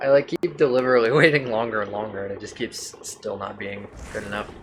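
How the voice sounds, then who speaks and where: A man with an American accent at medium pitch, very fast pace, ordinary pitch variation, big swings in loudness, and noticeable background noise. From Canada (not eastern). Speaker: speedrunner streamer. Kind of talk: casual live-stream chat.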